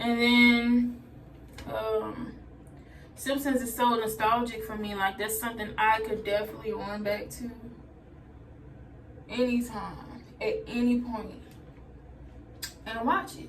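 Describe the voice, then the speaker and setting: With audible room echo and noticeable background noise, a woman speaks at a fairly slow pace and a fairly high pitch, using fairly even intonation and long, frequent pauses. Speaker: vlogger. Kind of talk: casual vlog talk while doing hair. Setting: bathroom, doing hair.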